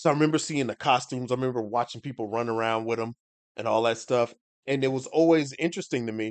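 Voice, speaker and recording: A man speaks very fast at a medium pitch. His pitch varies in an ordinary way against a quiet background. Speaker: streamer and comics creator. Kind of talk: casual livestream chat. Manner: halting, many restarts.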